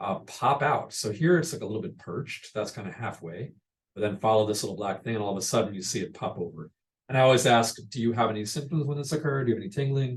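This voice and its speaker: A somewhat breathy man at medium pitch, very fast pace and lively intonation. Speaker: pediatric radiologist presenting. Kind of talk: medical lecture.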